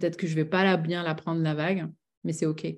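Against a quiet background, a woman speaks fairly quickly in a plain, everyday voice, fairly low in pitch, with fairly even intonation. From southwest France (Bordeaux, Médoc). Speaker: business coach and author. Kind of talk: interview.

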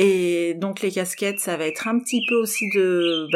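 With noticeable background noise around her, a woman talks at a medium pitch. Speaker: socio-anthropologist and primate charity volunteer. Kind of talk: interview. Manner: hesitant, many fillers.

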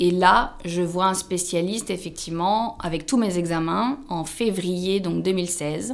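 Her pace very slow and with hardly any pauses, a woman speaks with ordinary pitch variation. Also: medium pitch for a woman. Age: 30s. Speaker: social worker. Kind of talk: testimony. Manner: halting.

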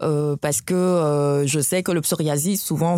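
With ordinary pitch variation, a woman talks in a very deep, low voice. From West Africa (Guinea, Nigeria, Burkina Faso). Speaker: doctor. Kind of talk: interview.

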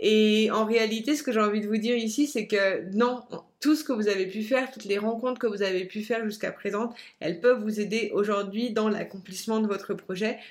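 Fairly even intonation at a fairly quick pace. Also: woman, fairly high pitch for a woman. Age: 30s. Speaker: life coach. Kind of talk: personal storytelling monologue. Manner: hesitant, many fillers.

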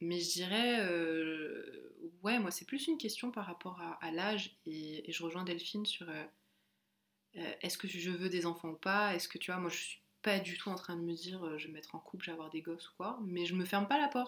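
This woman has a fairly low pitch and ordinary pitch variation. She talks at a moderate pace. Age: 20s. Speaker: podcast co-host. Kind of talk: casual chat. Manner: halting.

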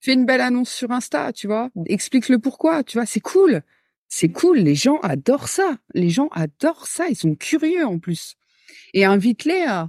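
On a very clean recording with a silent background and a dry, close sound with no echo, a woman speaks fairly slowly with a high pitch and very wide pitch swings. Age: 30s. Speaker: creative business entrepreneur and trainer. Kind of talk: casual interview chat.

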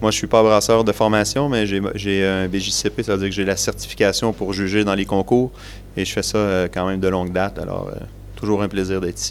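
Speaking with a Quebec accent, a man talks at a fairly quick pace in a fairly low, monotone voice with flat intonation. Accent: Québécois French. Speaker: brewer and beer judge. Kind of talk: interview.

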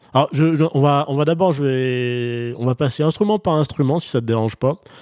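Recorded with a dry, close sound and no echo, a man speaks in an ordinary speaking voice at medium pitch, with ordinary pitch variation and a moderate pace. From France. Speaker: podcast host. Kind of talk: casual interview. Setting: video call.

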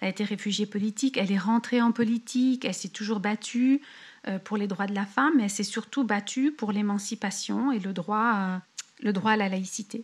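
Fairly even intonation and a moderate pace mark this somewhat breathy voice. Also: woman, medium pitch for a woman. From France (Paris). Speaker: expat entrepreneur. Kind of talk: interview about her life story. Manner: hesitant, many fillers and repetitions.

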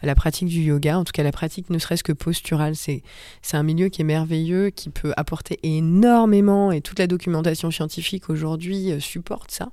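In a normal speaking voice with a fairly low pitch, a woman talks fairly quickly and with fairly even intonation on a very clean recording with a silent background. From Paris suburbs, France. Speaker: yoga teacher and former lawyer. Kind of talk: casual interview.

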